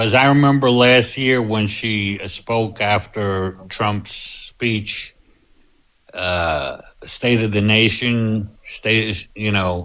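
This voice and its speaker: A man's fairly low, bright, sharp voice at a very slow pace with ordinary pitch variation, over a quiet background. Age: 70s. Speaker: panel participant. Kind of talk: casual chat.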